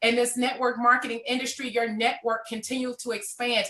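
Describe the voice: A woman's voice sits at a fairly high pitch with a bright, sharp tone.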